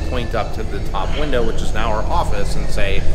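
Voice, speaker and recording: A man talks at a moderate pace while clear music plays behind him. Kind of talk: interview answer. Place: cafe.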